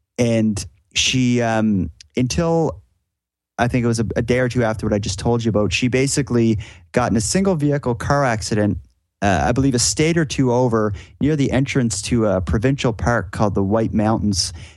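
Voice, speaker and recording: With a Cape Breton accent, a man speaks at a medium pitch and moderate pace, his intonation lively and his loudness very even against a quiet background. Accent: Cape Breton Canadian. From Cape Breton, Nova Scotia (Sydney). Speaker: podcast host, guest storyteller. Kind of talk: casual interview, storytelling. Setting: remote call.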